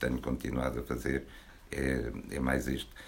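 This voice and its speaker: The fairly slow speech comes through over noticeable background noise. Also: man. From Portugal, Porto. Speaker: poet. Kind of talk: book launch talk. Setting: bookshop with audience.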